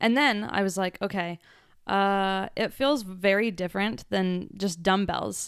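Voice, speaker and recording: In a very clean recording with a silent background, a woman with an unremarkable speaking voice talks at a fairly slow pace, using a medium pitch and ordinary pitch variation. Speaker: podcast co-host. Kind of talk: casual chat.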